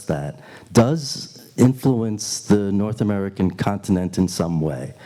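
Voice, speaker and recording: Speaking with a New York accent, a man talks at a fairly slow pace with a fairly low pitch and a dark, mellow tone. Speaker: Q&A moderator. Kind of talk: panel Q&A answer. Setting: retreat hall with audience. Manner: halting.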